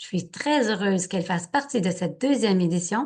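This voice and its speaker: A woman's somewhat breathy voice with lively intonation against a quiet background. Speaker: natural health educator, interview host. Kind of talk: interview introduction.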